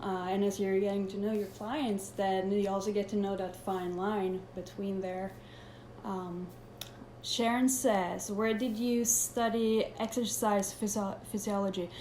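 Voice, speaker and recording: A woman at medium pitch in a Swedish accent, fairly slow and fairly even in intonation, with audible room echo and noticeable background noise. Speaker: personal trainer. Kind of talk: live Q&A. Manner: halting.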